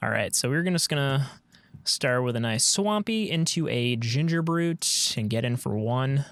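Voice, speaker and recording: A man talks at a moderate pace with lively intonation and a fairly high pitch. His loudness stays very even. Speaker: gaming streamer. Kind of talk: gameplay commentary. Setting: basement. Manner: stumbling over words.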